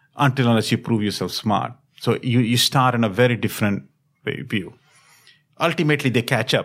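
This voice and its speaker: This man races along at a very fast pace, his medium pitch varying in an ordinary way. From India (Delhi). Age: 50s. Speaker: company chief executive. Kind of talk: interview. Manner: halting, with repetitions.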